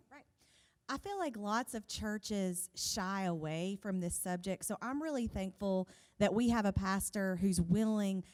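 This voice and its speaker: A woman with a plain, everyday voice speaks at a medium pitch and a fairly slow pace, with ordinary pitch variation and big swings in loudness. The recording is very clean, with a silent background. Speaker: pastor's wife and worship leader. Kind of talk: sermon.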